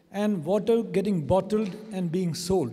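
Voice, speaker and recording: The tone is dark and mellow, with ordinary pitch variation. Audible room echo surrounds the voice. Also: man. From India. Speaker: conference attendee. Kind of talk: question from the floor at a conference. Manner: halting.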